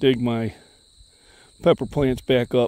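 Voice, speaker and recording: In a dry sound with no echo, a man speaks in a dark, mellow tone. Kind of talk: casual vlog chat. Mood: relaxed, easygoing. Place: garden. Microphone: phone near.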